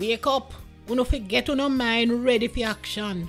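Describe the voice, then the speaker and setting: A woman talks fairly slowly. Music can be heard behind her. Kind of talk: scripture reading.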